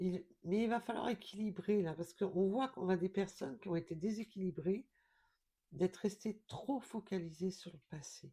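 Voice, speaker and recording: A woman speaks at a moderate pace with a dark, mellow tone. Her pitch sits in the medium range and rises and falls in an ordinary way. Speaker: tarot card reader. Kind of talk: spiritual card reading guidance. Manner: quiet, not loud; hesitant with fillers.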